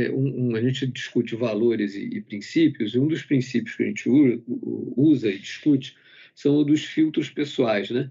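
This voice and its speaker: This man's dark, mellow tone moves at a moderate pace with ordinary pitch variation. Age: 50s. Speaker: company medical executive. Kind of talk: corporate webinar panel talk. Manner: halting with frequent fillers.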